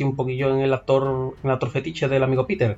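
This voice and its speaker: With a plain, everyday voice, a man talks at a fairly quick pace and a medium pitch. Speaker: film podcast co-host. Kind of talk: casual chat.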